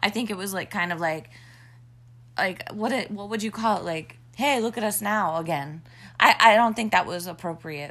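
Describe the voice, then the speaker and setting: Her medium-pitched voice, bright and sharp in tone, moves at a moderate pace with ordinary pitch variation as the woman speaks. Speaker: podcast host. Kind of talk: casual chat. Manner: joking.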